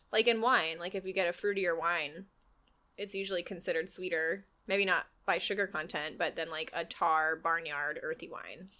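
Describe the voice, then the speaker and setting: A woman with an American accent has an unremarkable speaking voice, fairly low for a woman, with fairly even intonation at a moderate pace in a very clean recording with a silent background. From Florida. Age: late 20s. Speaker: restaurant server. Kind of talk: casual chat. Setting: studio.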